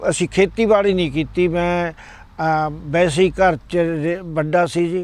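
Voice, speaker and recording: A high-pitched male voice with fairly even intonation. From Punjab, India (Ludhiana area). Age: 70s. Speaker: senior club volunteer. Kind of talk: interview. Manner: halting.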